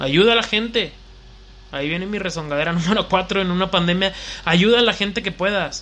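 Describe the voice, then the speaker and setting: With a central Mexican accent, a man speaks in a raised, projected voice that is high for a man, at a fairly quick pace with ordinary pitch variation. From Mexico, León, Guanajuato. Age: 20s. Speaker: podcast host, DJ and collectibles shop owner. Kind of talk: solo casual monologue.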